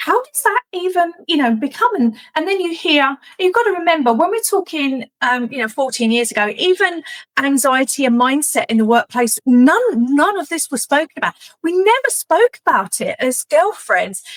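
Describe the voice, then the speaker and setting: In a dry, close recording with no echo, a woman with a high pitch speaks at a moderate pace, her pitch swinging very widely. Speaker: executive resilience coach. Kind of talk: interview conversation. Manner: animated.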